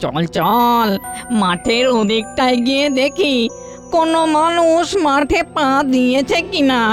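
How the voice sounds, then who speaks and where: A female-sounding, cartoonish character voice speaks at a high pitch and very slow pace. Clear music plays in the background. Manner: spooky, taunting.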